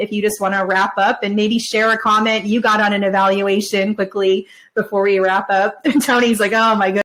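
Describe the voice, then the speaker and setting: A woman's pitch is fairly high. She talks at a fairly quick pace. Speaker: podcast co-host and conference speaker. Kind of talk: casual chat. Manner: fast.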